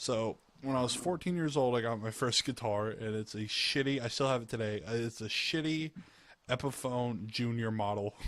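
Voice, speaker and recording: In a very clean recording with a silent background, a man with an American accent speaks at a moderate pace and medium pitch with ordinary pitch variation. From US South, Georgia. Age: 20s. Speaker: gamer. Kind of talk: casual chat. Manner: halting.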